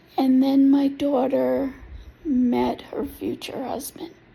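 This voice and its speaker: A woman talks over noticeable background noise. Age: 60s. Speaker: applicant telling personal story. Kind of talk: personal testimony. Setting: self-recorded video.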